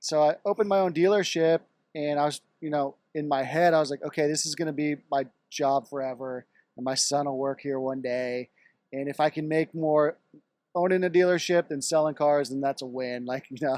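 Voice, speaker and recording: Fairly quick and fairly high, a man speaks in an ordinary speaking voice with an American accent. His intonation is fairly even, and the sound is dry and close with no echo. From Texas, Dallas. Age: 40s. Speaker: car dealership entrepreneur. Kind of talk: casual interview chat.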